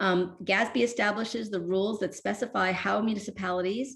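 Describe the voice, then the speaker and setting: Woman's medium-pitched voice with vocal fry and ordinary pitch variation. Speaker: workshop presenter on water utility finance. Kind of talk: virtual workshop presentation. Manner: halting, many fillers.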